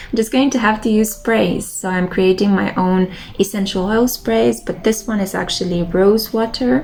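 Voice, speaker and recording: Speaking at a moderate pace with a Romanian accent, a woman uses a medium pitch and ordinary pitch variation over noticeable background noise. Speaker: tarot reader and lifestyle vlogger. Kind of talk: casual monologue vlog. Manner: relaxed, meandering.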